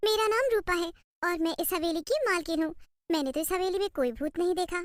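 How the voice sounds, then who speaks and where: A woman performs a cartoonish character voice at an extremely high pitch. She talks at a very fast pace. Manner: sweet, alluring.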